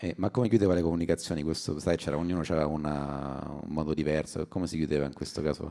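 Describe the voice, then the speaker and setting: A man talks very fast with hardly any pauses, his pitch very deep and low. His tone is dark and mellow, the intonation fairly even. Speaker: comedian co-host. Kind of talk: casual chat.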